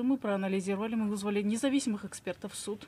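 A woman speaks at a very fast pace in a fairly high pitch. Her voice is somewhat breathy, with a dark, mellow tone. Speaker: legal expert; talk show guest. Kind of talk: studio talk show discussion. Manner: formal. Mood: earnest, indignant. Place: studio. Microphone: studio mic.

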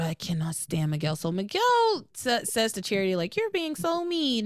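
A woman with an American accent speaks fairly slowly with lively intonation. The sound is dry with no echo, and the background is quiet. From US South. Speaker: podcast host. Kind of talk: casual chat. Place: home room. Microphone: studio mic.

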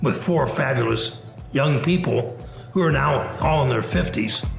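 With faint music in the background and audible room echo, a man speaks in an American accent with ordinary pitch variation. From US Midwest, Indiana. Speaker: business founder; interviewee. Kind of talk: interview. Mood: reflective, relaxed. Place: home room. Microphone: webcam.

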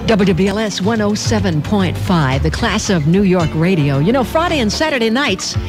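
A woman talks at a moderate pace with hardly any pauses and very wide pitch swings, over noticeable background noise. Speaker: radio DJ. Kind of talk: radio DJ patter. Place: studio.

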